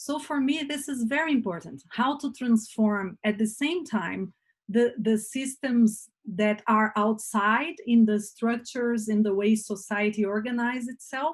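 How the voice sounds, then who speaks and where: Somewhat breathy, a woman's voice rides at a fairly high pitch. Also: ordinary pitch variation, fairly slow pace. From Brazil. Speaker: communication workshop facilitator. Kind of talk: online workshop talk. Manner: halting, many fillers.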